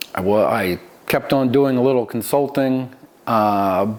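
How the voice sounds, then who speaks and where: A man with an American accent and a medium pitch, talking at a moderate pace. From US Northeast, Philadelphia area. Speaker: vineyard owner. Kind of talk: oral history interview. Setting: vineyard. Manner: halting, many fillers.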